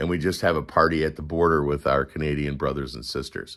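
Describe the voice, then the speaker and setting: This man talks with an American accent. Vocal fry runs through his speech. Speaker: political commentary livestreamer. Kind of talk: casual livestream chat. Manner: slow.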